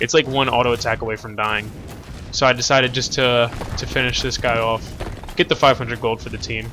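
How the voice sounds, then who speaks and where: The speaker's intonation is monotone and flat, with music in the background. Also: man, medium pitch for a man. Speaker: gaming video creator. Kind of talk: gameplay commentary. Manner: casual, filler-heavy.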